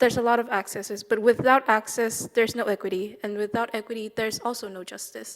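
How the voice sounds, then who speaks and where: On a very clean recording with a silent background, a woman talks at a very fast pace with hardly any pauses. Her fairly high voice is monotone and flat, with big swings in loudness. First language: not English. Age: young. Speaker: youth advocate. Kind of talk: panel speech.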